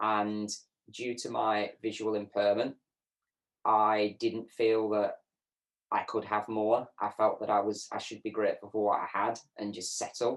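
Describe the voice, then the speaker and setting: On a very clean recording with a silent background, a man speaks at a fairly slow pace. His pitch is fairly low, and his intonation is monotone and flat. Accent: northern English. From northern England, Lancashire. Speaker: program graduate, accessibility analyst. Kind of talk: interview testimony.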